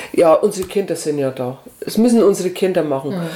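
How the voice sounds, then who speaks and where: Over noticeable background noise, a woman talks at a fairly quick pace with lively intonation. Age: 60s. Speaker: retired volunteer organizer of a senior-help association. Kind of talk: casual interview.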